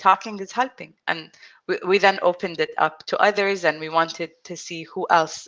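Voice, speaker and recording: A woman speaks in an Arabic accent at medium pitch and a moderate pace. Her pitch variation is ordinary. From UAE, Abu Dhabi. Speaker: self-help group founder, person who stutters. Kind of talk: interview. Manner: halting, with repetitions.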